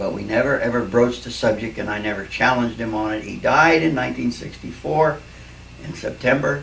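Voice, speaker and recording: A man at a medium pitch at a fairly quick pace, with lively intonation, big swings in loudness, audible room echo and noticeable background noise. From Philadelphia, Pennsylvania. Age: 60s. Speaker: retired Navy veteran. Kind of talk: recorded life story for family. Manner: casual, reflective, with fillers.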